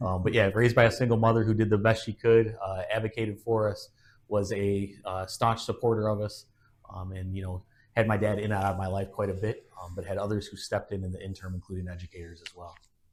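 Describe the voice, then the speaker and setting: The speaker has an American accent and a somewhat breathy voice, rushing at a very fast pace in monotone, flat intonation with big swings in loudness. The recording is very clean, with a silent background. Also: man, fairly low pitch for a man. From US Midwest, Aurora, Illinois. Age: 40s. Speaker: father, podcast guest. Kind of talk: casual chat.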